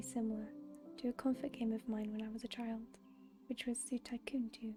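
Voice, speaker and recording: Over music in the background, a soft-spoken woman with a high-pitched voice talks at a fairly quick pace in a calm, relaxed tone with monotone, flat intonation. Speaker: ASMR gameplay creator. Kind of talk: ASMR soft spoken gameplay commentary. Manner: soft-spoken, calm, relaxed.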